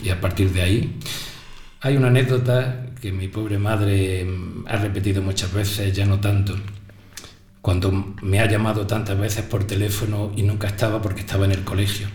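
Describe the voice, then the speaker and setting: A fairly low-pitched man speaks at a moderate pace in a flat monotone, with long pauses coming often. Noticeable background noise and audible room echo fill the recording. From Spain, Granada province (Ogíjares). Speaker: teacher. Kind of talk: interview. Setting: school radio studio.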